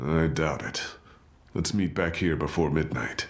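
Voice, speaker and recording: In a put-on character voice, a man speaks raspy and very deep, low-pitched, with a calm tone at a moderate pace. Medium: video game. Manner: calm, deliberate.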